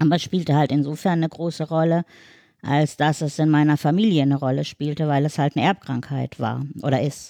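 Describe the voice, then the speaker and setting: Over a quiet background, a woman with a very deep, low voice and a dark, mellow tone speaks with fairly even intonation, the sound dry and close with no echo. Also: fairly quick pace. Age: 50s. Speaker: wheelchair user and mother. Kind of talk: casual chat.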